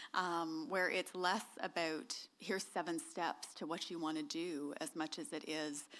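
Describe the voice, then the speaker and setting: A woman speaks in a Canadian accent, slowish and with a fairly low pitch that varies in an ordinary way. She barely pauses, and the recording is very clean against a silent background. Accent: noticeable accent, Canadian. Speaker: author. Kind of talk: talk to an audience. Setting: stage with audience. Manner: many filler ums.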